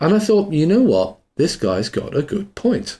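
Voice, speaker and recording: A man talks in a somewhat breathy voice with a dark, mellow tone. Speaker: online course instructor. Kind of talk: tutorial.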